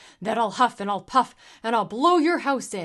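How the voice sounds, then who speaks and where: A female-sounding voice puts on a character, bellowing and booming at a fairly high pitch in a raised, projected voice. The pace is moderate, and the background is quiet. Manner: roaring, booming; threatening.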